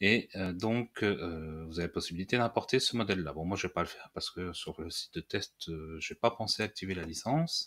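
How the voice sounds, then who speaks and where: A man with a fairly low pitch speaks at a moderate pace, with hardly any pauses and big swings in loudness. The recording is very clean, with a silent background. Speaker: WordPress tutorial youtuber. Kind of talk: screen-recorded software tutorial. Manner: halting with many fillers.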